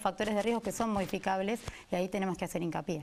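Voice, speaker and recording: The pitch shows ordinary variation. Overall, it's an ordinary speaking voice. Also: woman. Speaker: cardiologist. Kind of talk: interview answer.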